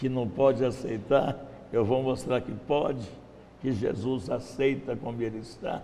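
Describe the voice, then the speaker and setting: Intonation is fairly even and the pace fairly slow. Noticeable background noise and audible room echo are present. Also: man. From Brazil, Minas Gerais. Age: 70s. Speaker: missionary. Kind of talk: testimony. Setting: church.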